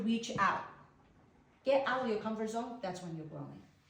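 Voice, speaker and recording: There is audible room echo as a woman with a Chinese accent speaks with very wide pitch swings. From China. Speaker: network marketing business presenter. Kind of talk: business opportunity presentation.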